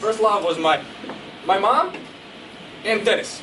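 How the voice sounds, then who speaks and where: With a Croatian accent, a man speaks in an animated tone at a high pitch with ordinary pitch variation, over noticeable background noise and audible room echo. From Croatia, Zagreb. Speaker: motivational speaker. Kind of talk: motivational speech. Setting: stage with audience. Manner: fast.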